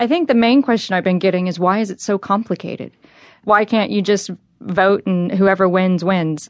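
Speaking in an American accent, a woman has a plain, everyday voice at a medium pitch with ordinary pitch variation. She keeps a moderate pace over a quiet background. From Texas. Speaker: American voter living abroad. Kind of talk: interview.

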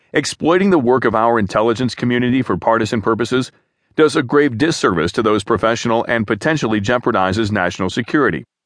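A man speaks very fast at a medium pitch with ordinary pitch variation, his loudness very even against a quiet background. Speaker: news reader. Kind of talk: formal news reading of a written article, steady and even. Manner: formal; measured, neutral, even-paced newsreader delivery.

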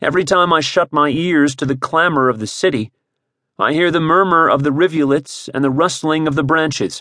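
With ordinary pitch variation, a man talks in an ordinary speaking voice at a fairly high pitch. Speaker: audiobook narrator. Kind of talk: scripted audiobook narration, dramatic reading of memoir prose. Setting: studio. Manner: slow, solemn, measured; wistful, sorrowful, expressive.

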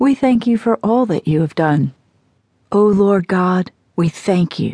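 In a dry, close sound with no echo, a woman of medium pitch talks at a fairly slow pace with a dark, mellow tone. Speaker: prayer narrator. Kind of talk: fervent prayer. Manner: earnest, repetitive, devotional.

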